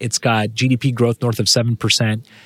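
The man's voice comes across dry and close with no echo, in a very clean recording with a silent background. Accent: West Coast US. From California, San Jose. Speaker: venture capitalist. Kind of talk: interview.

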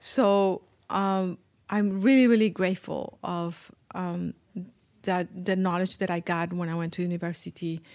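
In a very clean recording with a silent background, a woman with a Spanish accent speaks at a moderate pace, her fairly low voice keeping a fairly even intonation. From Colombia. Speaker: Ayurvedic spa owner and healer. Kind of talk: casual interview. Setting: at her spa with small group.

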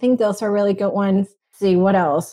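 A woman's medium-pitched voice with a dark, mellow tone and a Venezuelan accent, dry and close with no echo. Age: 20s. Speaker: software engineer and founder. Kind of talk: interview.

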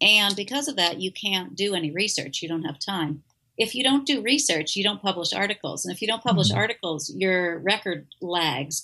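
A woman with an American accent, medium in pitch, lively in intonation, fairly quick, with a bright, sharp tone. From US, Pittsburgh. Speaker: academic career consultant and author. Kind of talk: interview.

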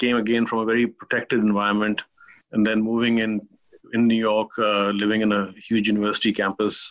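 A man talks with a Pakistani accent. His pitch is fairly low. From Kuwait. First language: Urdu. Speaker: business executive. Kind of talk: interview conversation.

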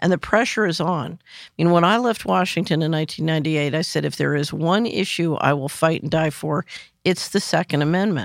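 Over a silent background in a very clean recording, a woman with a very deep, low voice and vocal fry talks at a fairly quick pace with ordinary pitch variation. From US Northeast, West Philadelphia. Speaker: financial analyst and former government official. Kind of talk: interview.

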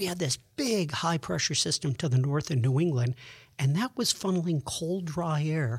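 Recorded very cleanly against a silent background, dry and close with no echo, a man with an American accent and a fairly high voice talks with lively intonation in a normal speaking voice. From Buffalo, New York. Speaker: meteorologist. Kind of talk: interview.

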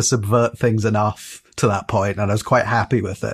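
A somewhat breathy man speaks at a moderate pace on a very clean recording with a silent background. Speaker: podcast panelist. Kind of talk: casual chat.

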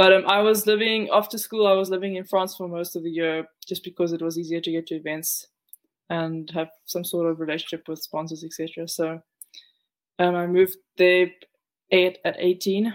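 A woman's fairly low voice in a South African accent, monotone and flat, at a moderate pace. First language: Afrikaans. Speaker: professional surfer. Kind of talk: interview. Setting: remote call from home.

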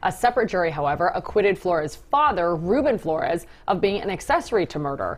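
A fairly low-pitched woman at a very fast pace, music in the background. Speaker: TV news show host. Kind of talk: casual banter on a live TV news show. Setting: TV studio. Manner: joking, playful.

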